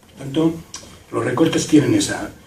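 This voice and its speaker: A man speaks at a fairly high pitch. Noticeable background noise and audible room echo are present. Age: 60s. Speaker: retired doctor and former health administrator giving a talk. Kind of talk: public talk. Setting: public event with audience.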